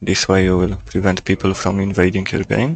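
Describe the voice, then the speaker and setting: In a non-native accent, a man speaks with a very deep, low pitch. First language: not English. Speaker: gaming YouTuber. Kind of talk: gameplay tutorial commentary.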